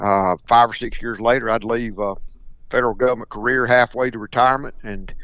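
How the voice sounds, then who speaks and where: Talking at a fairly quick pace, a man with a Mississippi accent keeps a medium pitch and monotone, flat intonation. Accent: Mississippi Southern. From US South, Mississippi Delta. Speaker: duck hunting broker. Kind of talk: podcast interview. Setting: podcast.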